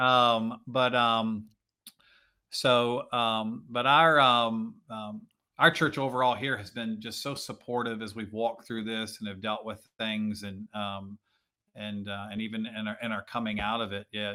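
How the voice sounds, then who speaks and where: At a fairly slow pace, a man with an American accent talks in a plain, everyday voice, medium in pitch and fairly even in intonation. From Virginia. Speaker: pastor. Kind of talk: casual interview.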